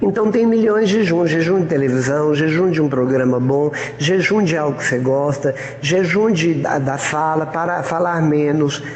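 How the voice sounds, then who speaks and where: With audible room echo and noticeable background noise, a man speaks at a moderate pace in a fairly high pitch, ordinary pitch variation and very even loudness. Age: 70s. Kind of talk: informal preaching talk. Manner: conversational, colloquial.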